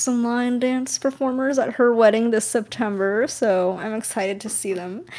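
A woman with an American accent has a plain, everyday voice at a fairly high pitch. She speaks at a moderate pace with fairly even intonation. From California. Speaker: podcast co-host. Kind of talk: casual chat.

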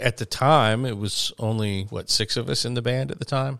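In a Southern US accent, the speaker goes at a fairly slow pace with ordinary pitch variation. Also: man, very clean recording, silent background. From small town near Birmingham, Alabama. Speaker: podcast co-host and touring musician. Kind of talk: casual chat. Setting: home studio. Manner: halting, repeats words.

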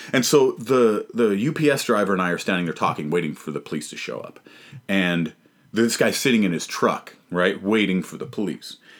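A man's normal speaking voice with a Canadian accent, fairly low in pitch, with lively intonation, big swings in loudness and a fairly quick pace, on a very clean recording with a silent background. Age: 30s. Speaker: stand-up comedian. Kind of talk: casual chat.

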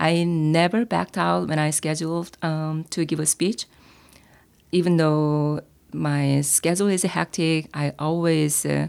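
In a very clean recording with a silent background, a woman with a very deep, low pitch speaks at a fairly slow pace, her intonation fairly even and her loudness very even. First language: Korean. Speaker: former teacher, public speaking club member. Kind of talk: interview. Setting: in-person recording at an office.

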